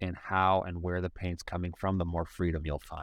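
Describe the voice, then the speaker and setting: Against a quiet background, a man speaks with a very deep, low pitch in an American accent. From US Midwest, Cleveland, Ohio. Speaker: hip-hop artist. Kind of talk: casual chat.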